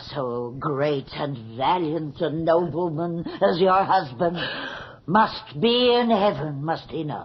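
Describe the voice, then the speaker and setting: Using a put-on character voice at a middle pitch, the speaker goes at a fairly slow pace with lively intonation. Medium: old radio play. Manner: deferential, hushed.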